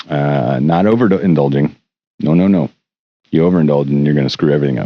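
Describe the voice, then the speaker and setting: A man talks at a very fast pace in a very deep, low pitch. His pitch variation is ordinary. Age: 50s. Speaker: musician and producer. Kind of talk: casual video diary monologue. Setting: home recording studio. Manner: rambling, hesitant with fillers.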